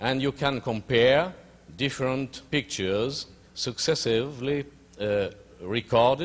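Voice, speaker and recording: A man with a French accent speaks at a fairly slow pace. His medium-pitched voice has lively intonation. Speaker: physician and researcher. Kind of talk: lecture. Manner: halting.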